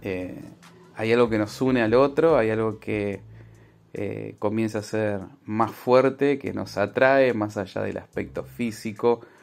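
An unremarkable speaking voice from a man, medium in pitch, at a fairly slow pace with ordinary pitch variation. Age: 40s. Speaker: marriage counselor. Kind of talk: recorded interview answer.

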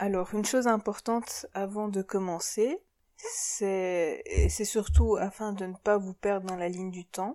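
A woman speaks very slowly at a medium pitch, her tone dark and mellow and her intonation fairly even. Her loudness swings widely in a very clean recording with a silent background. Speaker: podcast host, psychology assistant. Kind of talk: scripted commentary. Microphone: poor recording quality.

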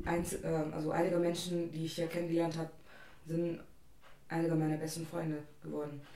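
A woman with a fairly low pitch speaks with monotone, flat intonation amid noticeable background noise and audible room echo. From India. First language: an Indian language (speaking German). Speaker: international student. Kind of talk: casual chat.

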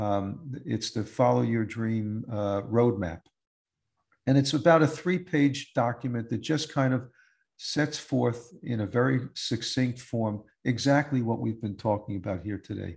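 With an American accent, a man speaks fairly slowly at a medium pitch, somewhat breathy, his pitch varying in an ordinary way. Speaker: musician and podcast host. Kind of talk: interview.

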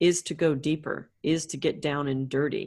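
With a North American accent, a woman speaks at a fairly slow pace in a very deep, low pitch, her intonation fairly even and touched with vocal fry. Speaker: astrologer. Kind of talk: casual chat.

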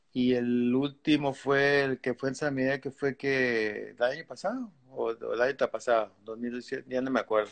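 At a fairly slow pace with hardly any pauses, a man with an unremarkable speaking voice keeps a medium pitch and fairly even intonation in a dry, close sound with no echo. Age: 60s. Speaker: veteran surfer. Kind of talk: casual interview.

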